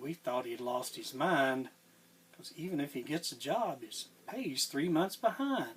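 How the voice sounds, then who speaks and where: With a Southern US accent, a man speaks at a moderate pace in a fairly high voice. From Tennessee. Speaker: cowboy poet. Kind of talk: poetry reading.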